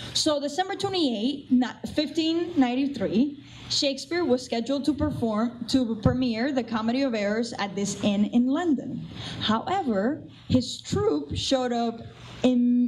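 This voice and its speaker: With a Cuban accent, the speaker has lively intonation and an animated tone at a fairly slow pace against noticeable background noise. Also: woman. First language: Spanish. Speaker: assistant theatre director. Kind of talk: pre-show talk to audience.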